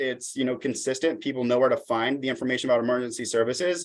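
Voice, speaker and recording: The man talks very fast. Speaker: social services outreach presenter. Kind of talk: presentation at public meeting.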